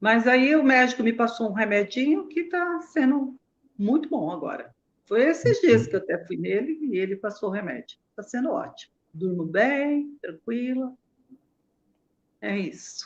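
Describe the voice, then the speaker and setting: Very wide pitch swings at a fairly slow pace. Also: woman, high pitch for a woman. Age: 70s. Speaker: breast cancer patient. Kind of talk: interview.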